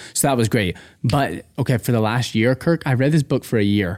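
Speaking very fast with an American accent, a man at medium pitch uses lively intonation on a very clean recording with a silent background. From Texas. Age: 20s. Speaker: young adult pastor. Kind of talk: casual interview. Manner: animated.

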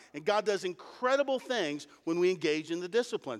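Speaking with an American accent, a man has a high voice. His pace is fairly quick and his intonation lively. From Ohio, Mansfield area. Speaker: pastor. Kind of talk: sermon.

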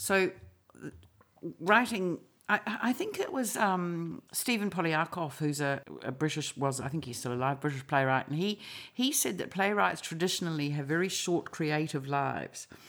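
In a New Zealand accent, the speaker goes at a moderate pace with very wide pitch swings. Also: woman, fairly low pitch for a woman. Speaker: novelist and playwright. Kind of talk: casual interview chat.

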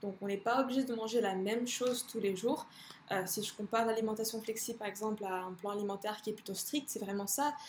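A woman's fairly high voice at a very fast pace, her intonation fairly even, with noticeable background noise. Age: 20s. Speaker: fitness coach and bikini athlete. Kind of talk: casual chat.

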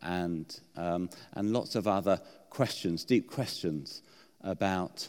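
A man with a British accent speaks at a very slow pace. His pitch is very deep and low, with ordinary variation. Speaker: preacher. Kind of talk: sermon. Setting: church. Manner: halting, hesitant.

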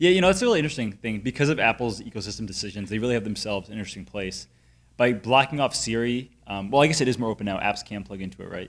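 Speaking very fast with a Connecticut accent, a man at a medium pitch shows big swings in loudness on a very clean recording with a silent background. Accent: Connecticut, general northeastern US. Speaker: tech podcast host. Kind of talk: casual conversational podcast chat.

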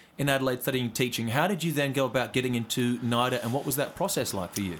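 Speaking at a very fast pace, a man with an Australian accent uses a medium pitch. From Western Australia, Karratha. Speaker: podcast host. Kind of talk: casual chat.

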